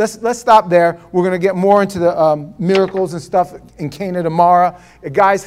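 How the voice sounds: This is a natural reading voice, and its intonation stays fairly even.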